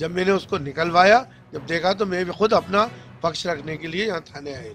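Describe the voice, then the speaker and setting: A man's high voice at a moderate pace, with ordinary pitch variation and big swings in loudness. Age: 60s. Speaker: local politician. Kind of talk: press statement. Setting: police station.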